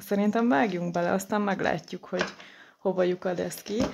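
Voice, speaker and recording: Noticeable noise runs in the background. A woman talks at a medium pitch. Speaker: tarot card reader. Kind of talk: tarot reading. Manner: hesitant, many filler sounds.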